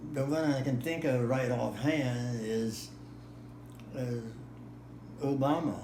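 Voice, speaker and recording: A man's medium-pitched voice, very slow with long, frequent pauses and fairly even intonation, over noticeable background noise. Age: 80s+. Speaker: war veteran. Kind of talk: interview answer.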